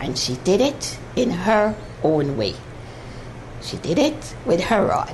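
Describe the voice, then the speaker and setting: Both audible room echo and noticeable background noise can be heard in the recording. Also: woman. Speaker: mathematics teacher on TV. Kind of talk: televised maths lesson. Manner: slow, deliberate.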